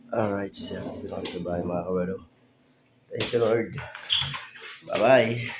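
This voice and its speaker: A man with a fairly low pitch and fairly even intonation speaks with long, frequent pauses. Audible room echo and noticeable background noise fill the recording. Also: moderate pace. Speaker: vlogger. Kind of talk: casual vlog talk.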